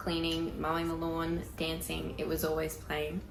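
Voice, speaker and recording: A woman with an Australian accent talks at a moderate pace, with audible room echo and noticeable background noise. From Queensland, Australia (Rockhampton). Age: 20s. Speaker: country singer. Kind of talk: pre-recorded personal introduction.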